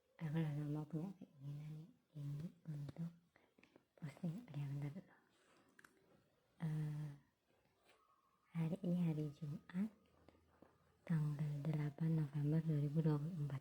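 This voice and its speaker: Quiet and somewhat breathy, a woman with a very deep, low pitch and a dark, mellow tone speaks at a fairly slow pace with fairly even intonation and long, frequent pauses. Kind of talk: casual talk to camera, religious musing.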